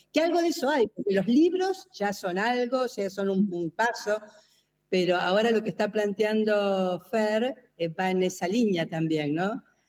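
A woman speaks with an Argentine accent at a medium pitch. Her pace is fairly slow and her intonation lively. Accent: Argentine (rioplatense). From Argentina. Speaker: design professor. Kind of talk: casual brainstorming panel.

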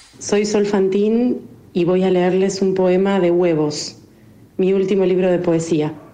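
A woman with a normal speaking voice talks at a fairly slow pace, her medium pitch, fairly even intonation and very even loudness holding throughout. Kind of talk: poetry reading aloud, intimate and mournful, of a poem about loss and being lost.

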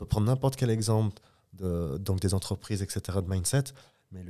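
A somewhat breathy man with fairly low pitch, a dark, mellow tone, ordinary pitch variation and a fairly slow pace, on a very clean recording with a silent background. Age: 20s. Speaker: clothing company co-founder. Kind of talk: casual interview.

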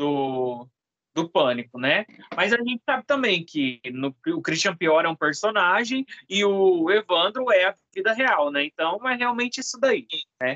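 This man's voice is raised and projected, high-pitched with very wide pitch swings and a bright, sharp tone, at a fairly slow pace, with a dry, close sound and no echo. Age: 20s. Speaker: podcast co-host, video producer. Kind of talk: casual chat.

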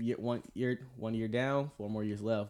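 A man's plain, everyday voice, fairly low-pitched, at a fairly slow pace with fairly even intonation. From US South, Atlanta, Georgia. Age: 20s. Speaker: navy culinary specialist. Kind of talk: faith-based casual discussion. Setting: studio.

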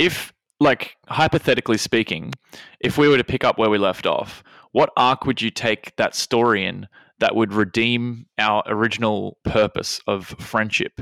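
An Australian accent at a moderate pace, in a dry, close sound with no echo and a very clean recording with a silent background. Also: man, medium pitch for a man, ordinary pitch variation. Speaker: podcast co-host, plays a character. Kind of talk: casual chat.

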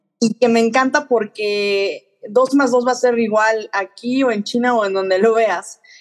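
Speaking in a Mexican accent, the voice moves at a fairly slow pace with fairly even intonation and hardly any pauses. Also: woman, fairly high pitch for a woman. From Mexico. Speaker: finance professional. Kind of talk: interview. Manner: halting, many fillers.

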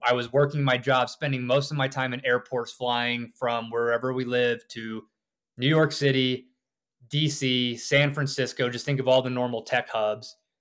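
A man with a plain, everyday voice speaks at a moderate pace in a medium pitch, his intonation fairly even. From US South. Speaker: author and off-grid homesteader. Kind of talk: interview.

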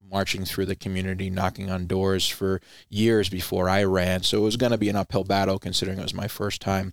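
Monotone, flat intonation in a Rhode Island accent at a fairly quick pace, with a dry, close sound with no echo and a very clean recording with a silent background. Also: man. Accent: East Coast US, Rhode Island. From Rhode Island, US Northeast. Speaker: veteran nonprofit founder, former Air Force member. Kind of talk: interview, conversational.

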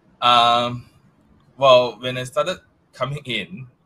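A man with a Malaysian accent speaks at a fairly slow pace in a fairly low pitch, his tone bright and sharp. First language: not English. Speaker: technical staff member. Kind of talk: casual interview. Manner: halting, many repetitions and fillers.

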